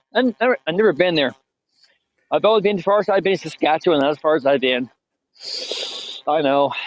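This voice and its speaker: A man with an Eastern Canadian accent speaks at very even loudness with long, frequent pauses, in dry, close sound with no echo. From British Columbia, Canada. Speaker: carnival worker. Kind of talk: casual chat. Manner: halting.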